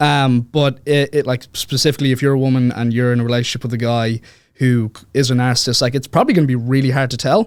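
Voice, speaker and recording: Very fast speech from a man with an Irish accent, medium pitch and fairly even intonation. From Ireland, Dublin. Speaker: author. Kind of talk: podcast interview. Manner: hesitant, many fillers.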